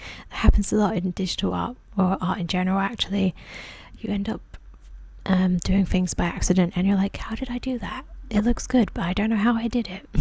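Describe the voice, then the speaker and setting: Soft-spoken and somewhat breathy, a woman talks at a fairly quick pace with a British accent. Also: medium pitch for a woman. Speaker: ASMR artist. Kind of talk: tutorial-style voiceover. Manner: casual, hesitant.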